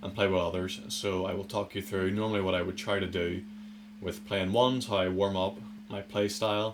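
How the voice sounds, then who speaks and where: A man with a Northern Irish accent speaks at a moderate pace in a fairly low pitch with monotone, flat intonation, and audible room echo. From Northern Ireland. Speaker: gaming youtuber. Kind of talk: gameplay commentary. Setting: attic room at home. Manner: casual.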